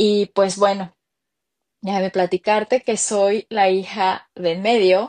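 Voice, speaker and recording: A woman's medium-pitched voice, monotone and flat, at a very slow pace in a dry, close sound with no echo. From Mexico City. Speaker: entrepreneur. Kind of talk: interview. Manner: halting.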